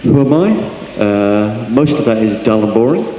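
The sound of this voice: A man speaks at a fairly slow pace in a fairly low pitch, his tone dark and mellow. His intonation is lively, and the room echo is audible.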